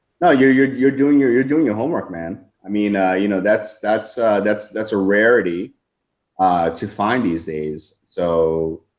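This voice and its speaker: A man with an American accent talks at a fairly slow pace. His pitch is fairly low and his intonation lively. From New York. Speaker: software marketer. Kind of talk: interview. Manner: halting, many fillers.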